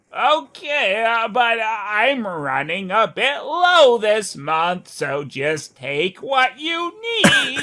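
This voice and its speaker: This man uses a put-on character voice with an extremely high pitch. He speaks at a very slow pace, and his pitch swings very widely. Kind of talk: comic overacting. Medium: game stream.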